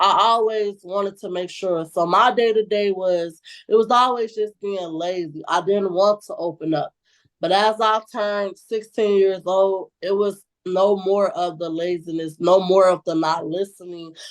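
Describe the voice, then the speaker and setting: Speaking at a fairly slow pace, a woman uses a medium pitch and fairly even intonation. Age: 20s. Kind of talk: interview answer. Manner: outspoken.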